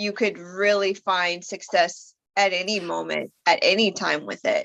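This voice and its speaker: A woman talks at a fairly slow pace. Her medium-pitched voice carries vocal fry. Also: ordinary pitch variation. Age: 30s. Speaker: writer and content creator hosting a livestream. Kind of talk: casual chat.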